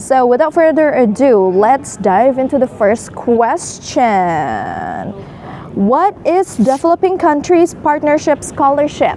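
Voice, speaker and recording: A high-pitched woman's voice with an Indonesian accent, very slow, very even in loudness yet with very wide pitch swings, over noticeable background noise. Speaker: student show host. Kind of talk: interview.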